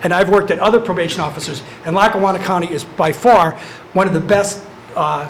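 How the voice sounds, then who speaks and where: With audible room echo and noticeable background noise, a man talks at a high pitch with ordinary pitch variation. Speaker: probation department head. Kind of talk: public meeting presentation. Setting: county commissioners meeting. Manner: fast.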